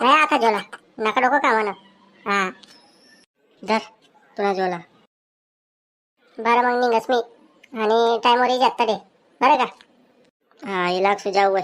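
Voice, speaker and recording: A woman does a cartoonish character voice at a fairly high pitch, moving at a moderate pace with ordinary pitch variation. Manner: bossy, scolding.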